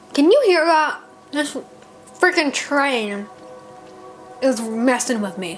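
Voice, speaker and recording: Over music in the background and with audible room echo, a woman with a high pitch speaks very slowly with lively intonation and long, frequent pauses. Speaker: late night podcaster. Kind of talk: casual monologue. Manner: hesitant, filler-heavy.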